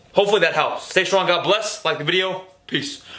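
A man speaks fairly quickly, with the room's echo clearly audible. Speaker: fitness vlogger. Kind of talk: casual vlog chat. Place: garage. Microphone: camera far.

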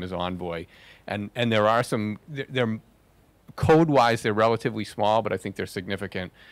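At a fairly quick pace, a man with a fairly low pitch talks in an ordinary speaking voice with ordinary pitch variation. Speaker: software engineer. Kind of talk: conference talk. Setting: stage with audience. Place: hall.

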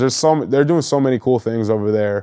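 A man talks very fast at medium pitch, with ordinary pitch variation. His tone is dark and mellow, and the background is quiet. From New Hampshire, Nashua; New Hampshire. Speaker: former pro football player; interview guest. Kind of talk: interview. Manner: halting, many fillers. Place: studio. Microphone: lapel.

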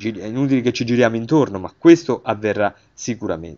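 This is a man speaking. His voice has vocal fry. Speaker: religious video channel host. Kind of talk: religious commentary on messages. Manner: halting, with fillers.

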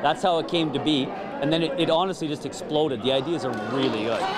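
Loud background noise sits behind a man's voice. He speaks very fast with ordinary pitch variation. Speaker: event emcee. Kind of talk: interview answer. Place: hall. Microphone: handheld.

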